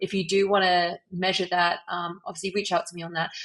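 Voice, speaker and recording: Speaking in a British accent, a woman with a fairly low pitch talks at a fairly quick pace in a flat, monotone delivery. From UK. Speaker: leadership coach and author. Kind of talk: podcast interview.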